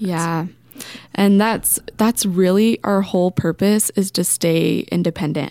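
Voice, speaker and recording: A woman with an American accent, medium pitch and a dark, mellow tone, fairly even intonation, a fairly slow pace, and a dry, close sound with no echo. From Graham County, Arizona. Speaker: hospital marketing staff. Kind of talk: radio interview. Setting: radio studio.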